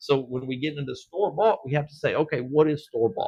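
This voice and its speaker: A somewhat breathy man speaks at a fairly high pitch. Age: 50s. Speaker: dirt track racing promoter. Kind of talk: casual chat. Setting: live stream from a shop. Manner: halting, many fillers and restarts.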